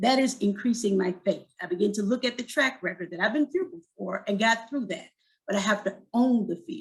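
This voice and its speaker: A woman with a fairly high pitch speaks with lively intonation and a somewhat breathy quality. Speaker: suicide prevention speaker. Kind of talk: talk to church audience. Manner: fast.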